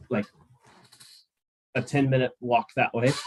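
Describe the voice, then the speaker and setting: In an Oklahoma accent, a man talks at a moderate pace. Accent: American (Oklahoma). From US, Oklahoma. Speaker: spaceport representative and astronaut trainer. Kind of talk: presentation to students. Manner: casual, with many fillers.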